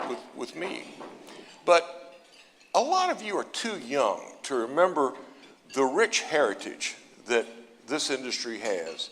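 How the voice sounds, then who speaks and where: This man speaks with an American accent. His pitch is fairly high. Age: 60s. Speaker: industry analyst, keynote speaker. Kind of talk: keynote speech.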